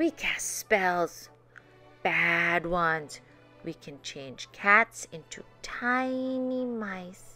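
Over faint background music, a woman uses a put-on character voice that is fairly low for her, bright and sharp in tone, with ordinary pitch variation and a very slow pace.

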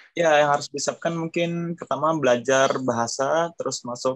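This is a man talking. The movement in his pitch is ordinary. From Indonesia. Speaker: skilled worker in Japan. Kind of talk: casual interview. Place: home room. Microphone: video call.

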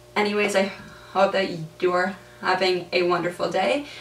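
With audible room echo, a woman speaks at a medium pitch and moderate pace, her pitch moving little.

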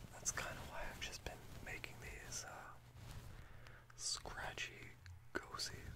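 Through loud background noise, a soft-spoken man talks at a very slow pace. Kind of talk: soft-spoken casual talk, ASMR-like. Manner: soft-spoken, hushed late-night rambling. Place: home room. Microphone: webcam.

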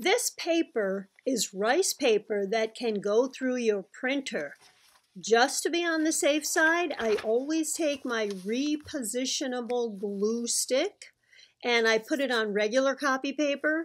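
A high-pitched woman's voice at a fairly slow pace, with lively intonation. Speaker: craft tutorial creator. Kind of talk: tutorial. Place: home room.

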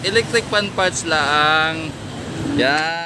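A man speaks with noticeable background noise. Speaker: electronics repair vlogger. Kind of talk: repair tutorial. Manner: halting.

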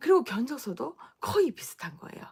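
Speaking in a Gyeongsang accent, a woman moves through very wide pitch swings at a moderate pace. Her voice is somewhat breathy. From Gyeongsang region, Daegu. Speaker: business owner and coach. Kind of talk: live stream talk. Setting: at home.

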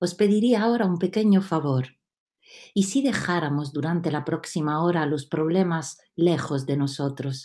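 Against a quiet background, a woman with an Italian accent speaks at a fairly low pitch and a fairly slow pace, with ordinary pitch variation. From Italy, Rome. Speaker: storyteller. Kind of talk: storytelling. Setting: video call. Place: home room. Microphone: webcam.

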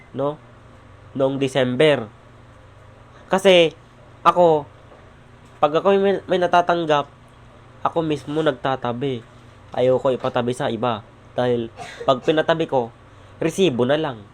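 The speech moves at a fairly slow pace, with long, frequent pauses and ordinary pitch variation. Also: man, fairly high pitch for a man. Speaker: vlogger. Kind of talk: vlog monologue. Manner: raised voice; halting.

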